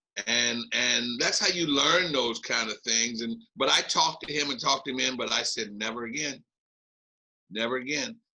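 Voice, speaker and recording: Medium-pitched male voice with a bright, sharp tone, vocal fry, lively intonation and a fairly slow pace. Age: 70s. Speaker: boxing manager and fight backstage operations. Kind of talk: casual interview chat. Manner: animated; repetitive stammering.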